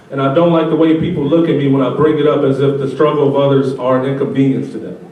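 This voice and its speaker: The speech comes at a very fast pace with fairly even intonation. Noticeable background noise runs underneath. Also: man, fairly high pitch for a man. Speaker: spoken word poet. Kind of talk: spoken word poetry.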